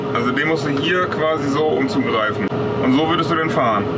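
Loud background noise fills the clip. Over it, a man speaks at a moderate pace. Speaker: farming vlogger. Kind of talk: casual talk, explaining. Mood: patient, friendly. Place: farm machine. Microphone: camera far.

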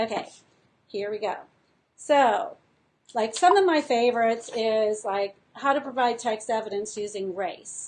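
Her voice fairly high, a woman speaks at a fairly slow pace with ordinary pitch variation and long, frequent pauses. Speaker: teacher and curriculum designer. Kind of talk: casual live-stream tutorial to teachers. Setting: live video stream. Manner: animated, enthusiastic. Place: home room. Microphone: webcam.

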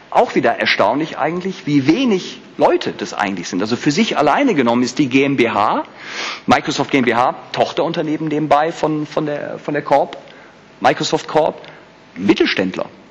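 Against noticeable background noise, a man talks at a moderate pace with a fairly high pitch. His tone is animated and his intonation lively. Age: 40s. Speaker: HR manager. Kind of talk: conference talk. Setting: stage with audience.

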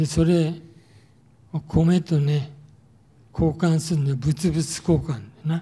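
At a very slow pace with long, frequent pauses, a man uses a dark, mellow tone and fairly even intonation. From Tokyo (Yotsuya); Tokyo. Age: 80s+. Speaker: war survivor speaker; wartime experience lecturer. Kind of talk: testimony. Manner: casual, frequent filler particles ね. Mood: calm reminiscing. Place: hall. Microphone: handheld.

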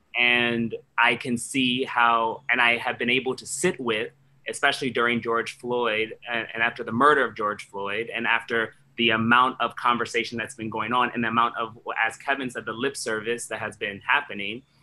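A man with an American accent and medium pitch speaks at a moderate pace, his bright, sharp tone held in a flat monotone. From Washington DC. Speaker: theatre artistic director. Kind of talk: panel discussion. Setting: video call. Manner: halting. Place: home room. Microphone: video call.

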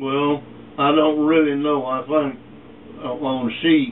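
The speaker, with an East Texas accent, talks at a very slow pace with fairly even intonation. Light background noise can be heard. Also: man. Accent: East Texas Southern US. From East Texas, USA. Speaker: retired meatpacking worker, former sharecropper. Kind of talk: interview answer, family oral history. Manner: casual, reminiscing. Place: home room. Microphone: camera far.

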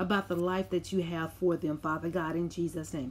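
Fairly level in its intonation, a plain, everyday voice carries on at a moderate speed. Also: woman. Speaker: prayer video host. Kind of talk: fervent prayer, spiritual warfare intercession, rebuking the devil. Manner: fervent, insistent, declarative, rhythmic repetition; warm, conversational, reflective when sharing.

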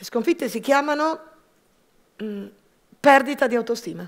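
Against a quiet background, a woman's speech has lively intonation. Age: 50s. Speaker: entrepreneur. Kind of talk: personal testimony talk. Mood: reflective, personal. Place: stage. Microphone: headset.

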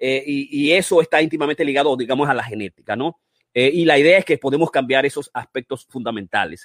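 A man's fairly high-pitched, animated voice at a very fast pace, with ordinary pitch variation and a dry, close sound with no echo. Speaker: physician and running-health show host. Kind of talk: online masterclass presentation. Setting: live stream.

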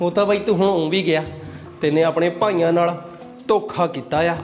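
Over light background noise, a man talks at a high pitch with very even loudness and fairly even intonation. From Punjab, India. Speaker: comedy sketch actor. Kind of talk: scripted comedy sketch dialogue. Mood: teasing, mock-threatening, playful. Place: home room.

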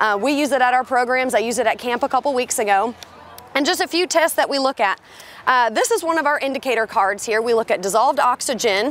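Talking at a very fast pace, a woman uses a high pitch and ordinary pitch variation, with a dry sound and no echo. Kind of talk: interview answer. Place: waterside.

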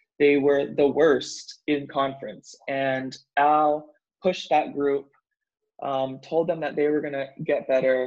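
Over a quiet background, a man talks at a fairly slow pace and fairly high pitch, his intonation monotone and flat. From Hawaii, Honolulu. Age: 30s. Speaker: professional volleyball player; interview guest. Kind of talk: casual interview. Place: home room. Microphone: video call.

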